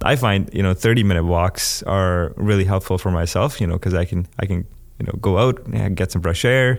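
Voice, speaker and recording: A fairly quick pace with ordinary pitch variation. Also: man, very deep, low pitch for a man. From India. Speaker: student union officer, recent graduate. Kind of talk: casual interview.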